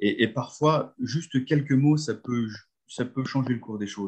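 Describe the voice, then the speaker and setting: A man with a normal speaking voice talks fairly slowly in a medium pitch, with ordinary pitch variation. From northern France (Nord, near Lens). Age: 50s. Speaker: nordic walking coach. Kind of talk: guided visualization storytelling.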